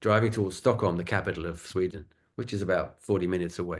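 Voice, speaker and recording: This man speaks with a southern English accent. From southern England, London suburbs. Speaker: acupuncture and shiatsu teacher. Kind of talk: casual chat. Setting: video call.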